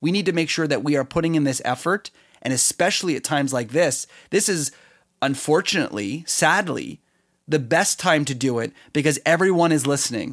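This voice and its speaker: In a very clean recording with a silent background, a man with a Canadian accent and an unremarkable speaking voice talks at a fairly quick pace, with a fairly high pitch and ordinary pitch variation. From Canada. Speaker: podcast host. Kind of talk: solo podcast commentary.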